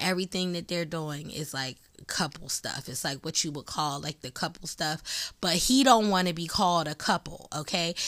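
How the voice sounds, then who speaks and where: A plain, everyday voice, heard with ordinary pitch variation, comes through on a very clean recording against a silent background. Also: woman, fairly low pitch for a woman, moderate pace. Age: 40s. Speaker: podcast host. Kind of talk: casual monologue.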